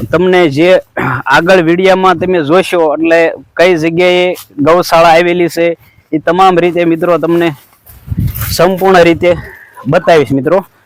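A man with a high-pitched voice speaks in a flat monotone at a very even loudness. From Gujarat, Saurashtra (Rajkot district). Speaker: organic farmer and video blogger. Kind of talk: casual vlog narration.

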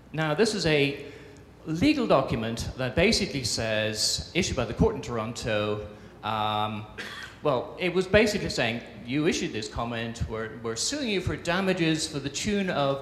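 A man at a moderate pace with very wide pitch swings, audible room echo and light background noise. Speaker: conference presenter. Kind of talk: conference talk. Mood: humorous, self-deprecating. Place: stage. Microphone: handheld.

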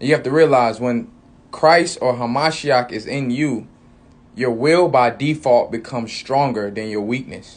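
A man's speech unfolds fairly slowly, his pitch varying in an ordinary way. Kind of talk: sermon-like vlog talk. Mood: earnest, calm preaching. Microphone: phone near.

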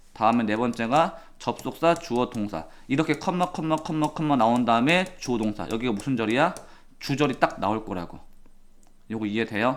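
Here is a man with an ordinary speaking voice, medium in pitch, talking at a moderate pace with lively intonation. The recording is very clean, with a silent background. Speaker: English teacher. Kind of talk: lecture.

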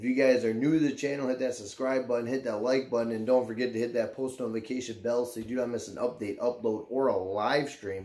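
The speech runs at a very fast pace with hardly any pauses. Its tone is dark and mellow, and the intonation is fairly even. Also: man. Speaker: YouTuber. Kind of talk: casual vlog chat. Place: home room.

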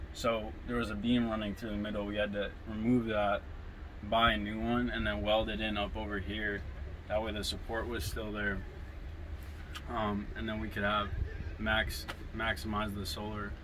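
Over noticeable background noise, a man with a fairly low pitch talks at a moderate pace, with ordinary pitch variation and long, frequent pauses. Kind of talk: interview answer. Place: home room. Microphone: camera far.

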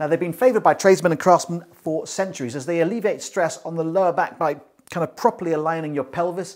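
A man talks fairly quickly, with only a quiet background behind him. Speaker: presenter. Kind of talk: product review presentation. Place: kitchen. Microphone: lapel.

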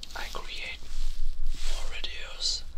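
Whispered speech from a man. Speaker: ASMR creator. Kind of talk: ASMR talk to camera. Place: home room. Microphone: studio mic.

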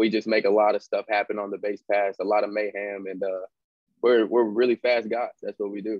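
A man's fairly low voice with an American accent, monotone, flat intonation and a fairly quick pace, in a dry sound with no echo against a quiet background. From Fresno, California. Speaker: baseball player. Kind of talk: casual interview chat. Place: home room. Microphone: video call.

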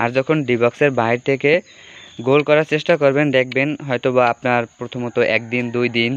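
A man talks at a medium pitch with monotone, flat intonation. The sound is dry and close, with no echo. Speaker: mobile football game streamer. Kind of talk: casual live stream chat. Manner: halting.

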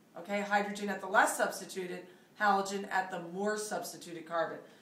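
Audible room echo surrounds a woman talking at a moderate pace. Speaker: chemistry teacher. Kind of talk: lecture. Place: home room. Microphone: camera far.

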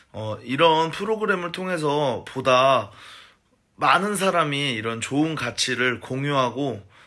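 A man's bright, sharp voice with lively intonation at a fairly slow pace, against a quiet background. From South Korea. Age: 30s. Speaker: food company salesman. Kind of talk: personal video message. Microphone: phone near.

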